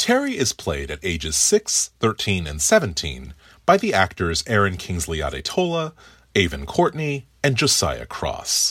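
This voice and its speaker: Against a silent background, a man is heard in a very clean recording. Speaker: film critic. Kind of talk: scripted review.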